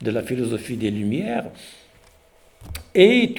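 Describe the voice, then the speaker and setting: The voice moves at a fairly slow pace with very wide pitch swings. Audible room echo surrounds it. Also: man. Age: 60s. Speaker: professor. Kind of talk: lecture. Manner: halting.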